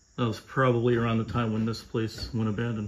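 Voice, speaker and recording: There is light background noise. A man talks through it at a moderate pace. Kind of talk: casual vlog chat. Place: home room. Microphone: phone near.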